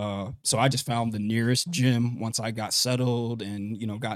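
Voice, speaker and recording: Fairly even in intonation, a man speaks at medium pitch with an ordinary speaking voice. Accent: American. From US South, Columbia, South Carolina. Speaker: boxer. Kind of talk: casual chat. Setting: studio.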